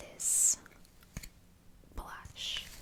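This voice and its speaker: A very slow whisper over noticeable background noise. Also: woman. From Ireland. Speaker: ASMR creator. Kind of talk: casual talk to camera. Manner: whispered, soft-spoken.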